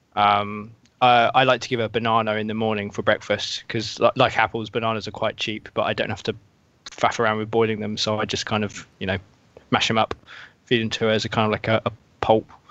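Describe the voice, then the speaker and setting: In a British accent, a very fast voice with a bright, sharp tone runs on in monotone, flat intonation. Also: man, fairly low pitch for a man. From UK. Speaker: video game journalist. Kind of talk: casual chat.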